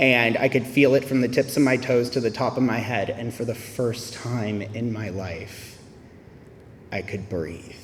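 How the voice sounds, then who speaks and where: A man with an unremarkable speaking voice and an American accent, medium in pitch, with ordinary pitch variation and a fairly slow pace. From US South. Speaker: AA speaker. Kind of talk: testimony.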